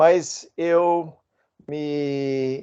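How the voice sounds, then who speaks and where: Against a quiet background, the voice carries an American accent and a dark, mellow tone. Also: man. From United States. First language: English (speaking Portuguese). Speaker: guest speaker on listening. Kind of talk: monologue talk. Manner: hesitant, many 'ah' fillers.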